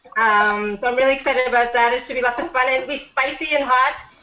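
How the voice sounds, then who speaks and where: The voice is raised and projected. It moves at a fairly quick pace with fairly even intonation. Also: woman. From India. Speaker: home cook and life coach. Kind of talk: casual chat.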